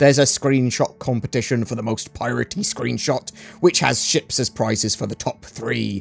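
A put-on character voice, gravelly, moves along at a moderate pace. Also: man, medium pitch for a man.

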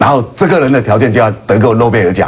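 A man speaks very fast at a fairly low pitch. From Taiwan. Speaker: political talk show host. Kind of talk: political talk show discussion. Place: studio.

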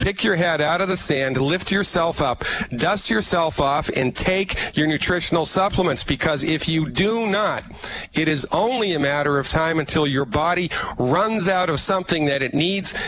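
Over noticeable background noise, a man with a fairly high pitch and ordinary pitch variation talks at a moderate pace with very even loudness, the sound dry with no echo. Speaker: holistic physician promoting supplements. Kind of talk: sales pitch. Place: office. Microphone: headset.

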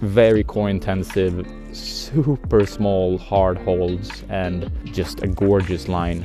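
Clear music plays in the background as a man speaks at a very deep, low pitch in a dry sound with no echo. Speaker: climbing vlogger. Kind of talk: casual vlog chat. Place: open country. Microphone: phone near.

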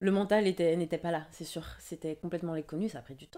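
A woman's voice sits at a very deep, low pitch, with fairly even intonation and a dark, mellow tone. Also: quiet background. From Martinique. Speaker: dancer; interview guest. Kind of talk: casual interview. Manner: halting, many hesitations. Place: home room. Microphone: studio mic.

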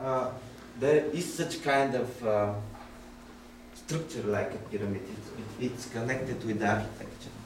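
A man with a Bulgarian accent speaks at medium pitch and a moderate pace, with ordinary pitch variation, long, frequent pauses and noticeable background noise. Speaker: lecturer. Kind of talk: seminar lecture. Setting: noisy room with audience. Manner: halting.

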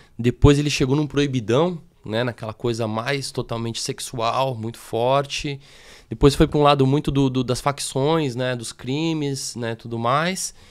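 A man talks fairly slowly, his intonation fairly even throughout. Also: quiet background. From Brazil, São Paulo. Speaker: graffiti artist; podcast guest. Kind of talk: interview. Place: studio. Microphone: studio mic.

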